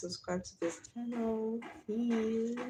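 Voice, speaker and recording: A woman speaks with a Nigerian accent in a fairly high, somewhat breathy voice. Her tone is dark and mellow, with ordinary pitch variation. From Nigeria (Delta/Bayelsa area). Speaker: live streamer. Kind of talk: casual live stream chat. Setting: live stream.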